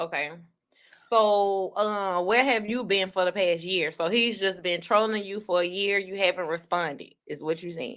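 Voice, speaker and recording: Recorded very cleanly against a silent background, a woman with a plain, everyday voice speaks at medium pitch and moderate pace with ordinary pitch variation. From US South, Baton Rouge Louisiana. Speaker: online talk show host. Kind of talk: casual chat. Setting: livestream.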